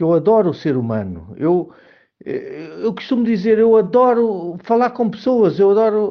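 Speaking in a Lisbon accent, a man uses a high pitch with ordinary pitch variation. His pace is fairly slow. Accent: European Portuguese (Lisbon area). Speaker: marketing professional. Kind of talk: personal monologue. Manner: halting.

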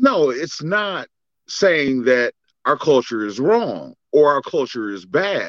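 With an American accent, the speaker moves at a very slow pace, pitch swinging very widely, over a quiet background. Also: man, fairly high pitch for a man. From US Midwest, inner-city Cleveland, Ohio. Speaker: co-host, father and military veteran. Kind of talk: casual chat.

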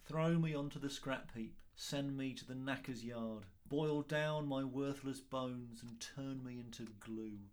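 A man puts on a whiny character voice at a medium pitch, speaking at a moderate pace with fairly even intonation. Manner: whining.

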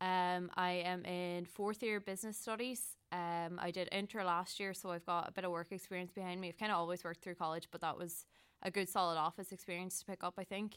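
A woman with a Donegal accent talks at a fairly quick pace, with hardly any pauses. Her medium-pitched voice is monotone and flat. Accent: Donegal Irish. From Ireland, County Donegal. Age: 20s. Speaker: student union candidate. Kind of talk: interview. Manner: hesitant.

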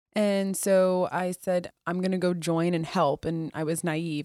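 With an American accent and fairly even intonation, a woman has an ordinary speaking voice of fairly low pitch, captured dry and close with no echo on a very clean recording with a silent background. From US Midwest. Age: 30s. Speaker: military officer. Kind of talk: casual interview. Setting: hotel in Washington DC, re-recorded interview.

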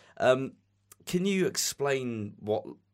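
This voice comes in a Southeast English accent. The recording is very clean, with a silent background. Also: man. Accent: English (southeast England). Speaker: podcast host. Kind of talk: casual interview chat. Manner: friendly, enthusiastic.

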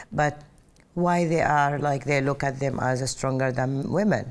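Woman with an Arabic accent. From Saudi Arabia (Mecca). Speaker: airline pilot. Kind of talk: personal testimony interview. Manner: loud.

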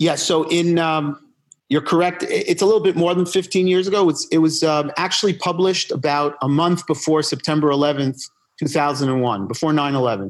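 Here is a man with an unremarkable speaking voice, fairly high in pitch with ordinary variation. He keeps a moderate pace and very even loudness. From US Northeast, New York (Upper West Side), born in Argentina. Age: 50s. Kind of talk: interview conversation.

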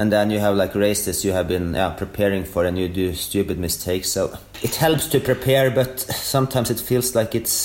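The speaker has a Norwegian accent and ordinary pitch variation. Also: man. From Norway. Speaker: elite orienteer. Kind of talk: interview. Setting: remote call.

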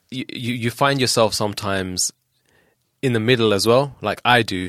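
A southern English accent comes through on a very clean recording with a silent background and a dry, close sound with no echo. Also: man. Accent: southern English (Luton), British Punjabi. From England, Luton. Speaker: rapper. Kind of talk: casual chat. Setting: studio.

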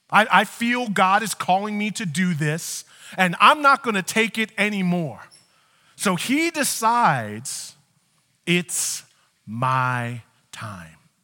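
A man with a high pitch uses a raised, projected voice and a bright, sharp tone, speaking at a very slow pace with very wide pitch swings and long, frequent pauses. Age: 40s. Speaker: pastor. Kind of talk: sermon.

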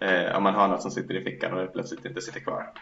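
Against noticeable background noise, a man talks very fast. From Sweden. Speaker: podcast co-host. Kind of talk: casual chat.

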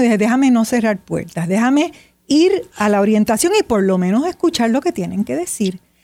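Her voice a dark, mellow tone, a woman speaks at a moderate pace with a fairly high pitch and very wide pitch swings. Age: 70s. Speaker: writer and meditation teacher. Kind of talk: interview.

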